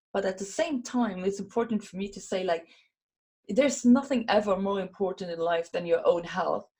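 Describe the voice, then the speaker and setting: A woman with a Luxembourgish accent speaks at a medium pitch and moderate pace, with ordinary pitch variation. Her tone is dark, mellow and somewhat breathy, and her loudness swings widely. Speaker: WordPress community organizer and speaker. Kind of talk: podcast interview. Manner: animated; halting, with frequent repetitions.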